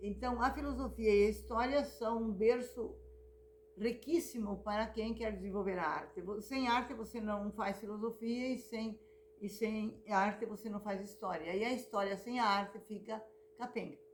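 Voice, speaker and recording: A woman's fairly high voice at a moderate pace, with fairly even intonation and noticeable background noise. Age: 70s. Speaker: visual artist and retired teacher. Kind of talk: personal memoir talk. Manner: halting, many repetitions.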